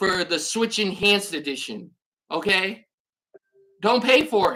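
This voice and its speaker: A loud woman at a fairly slow pace, her tone animated, bright and sharp, with ordinary pitch variation. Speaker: gaming YouTuber. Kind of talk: rant video.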